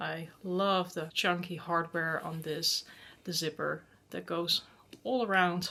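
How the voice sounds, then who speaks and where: In a Dutch accent, a woman speaks at a fairly slow pace in a fairly low pitch, her tone bright and sharp and her intonation flat and monotone. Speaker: handbag vlogger. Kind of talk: product review vlog. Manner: casual.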